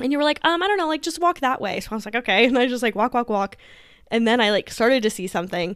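Loud, animated talk at a very fast pace with lively intonation, on a very clean recording with a silent background. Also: woman, high pitch for a woman. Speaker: podcast co-host. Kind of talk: casual chat.

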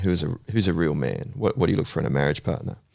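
Speaking at a very fast pace in an Australian accent, a man uses lively intonation with vocal fry. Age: 40s. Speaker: counsellor. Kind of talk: casual chat.

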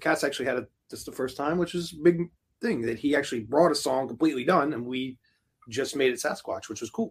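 A man's very fast speech, fairly high in pitch, with ordinary pitch variation and big swings in loudness. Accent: American. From Philadelphia, US. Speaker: rock band musician. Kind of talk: casual interview chat. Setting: recording studio.

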